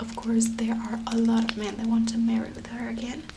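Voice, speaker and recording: A soft-spoken woman whispering, with noticeable background noise. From Venezuela. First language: Spanish. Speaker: ASMR creator. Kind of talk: soft spoken ASMR storytelling of legends. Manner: soft-spoken, whispering.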